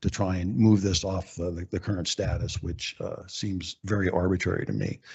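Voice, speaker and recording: The voice is somewhat breathy, with monotone, flat intonation. Its pace is moderate. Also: man. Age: 70s. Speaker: public commenter at council meeting. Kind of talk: public comment. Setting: city council meeting. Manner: hesitant, many fillers.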